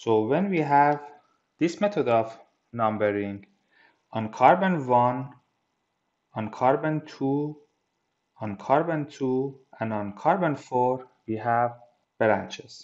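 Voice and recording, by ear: A man talks slowly in a medium pitch with lively intonation and a slightly mellow tone.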